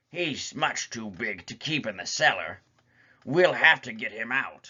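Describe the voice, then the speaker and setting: A man puts on a raspy character voice at a medium pitch, swinging very widely up and down at a moderate pace. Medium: read story.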